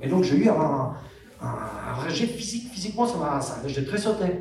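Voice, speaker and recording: A man talks at a moderate pace with lively intonation, stopping often for long pauses. Noticeable background noise and audible room echo fill the recording. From Kosovo. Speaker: actor. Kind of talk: convention panel Q&A. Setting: outdoor stage with audience.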